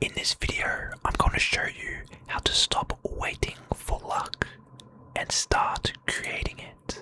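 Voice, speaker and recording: Someone whispers at a very slow pace over noticeable background noise. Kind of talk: motivational talk. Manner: whispered, soft-spoken.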